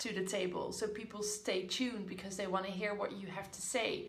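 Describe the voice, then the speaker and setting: In a room with audible echo, a woman with a non-native accent talks in a monotone, flat intonation. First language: not English. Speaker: business coach. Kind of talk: casual talk to camera. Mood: encouraging, upbeat. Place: home room. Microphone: phone near.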